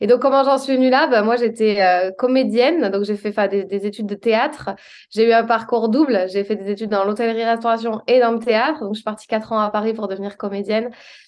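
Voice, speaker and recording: A woman with a plain, everyday voice, fairly high in pitch, speaks at a fairly quick pace with fairly even intonation. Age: 30s. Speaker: public speaking coach. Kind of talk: interview.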